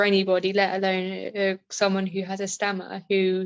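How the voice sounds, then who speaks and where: The speaker has a southern English accent. Music plays in the background. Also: woman. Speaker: customer assistant who stammers. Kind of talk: personal testimony. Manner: stammering; halting with many fillers.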